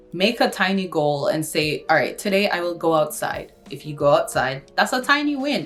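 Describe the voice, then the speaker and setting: Music plays behind a woman whose voice is fairly low in pitch. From Kingston, Jamaica. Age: 20s. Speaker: university student, YouTuber. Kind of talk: casual talk to camera.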